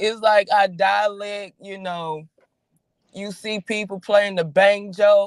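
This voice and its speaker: The speaker talks at a very slow pace with a Southern US accent. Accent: Southern US, says she talks country. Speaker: podcast co-host. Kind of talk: casual chat.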